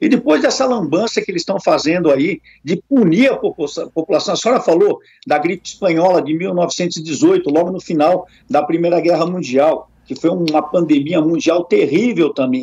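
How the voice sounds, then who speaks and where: A man speaks at a fairly quick pace in a high voice with a dark, mellow tone and lively intonation. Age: 60s. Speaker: politician, retired police colonel. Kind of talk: radio interview.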